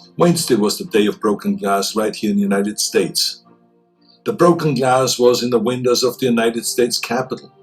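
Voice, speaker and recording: Music plays in the background. A man talks at a fairly quick pace. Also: medium pitch for a man. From Austria. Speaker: public figure. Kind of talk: public address speech.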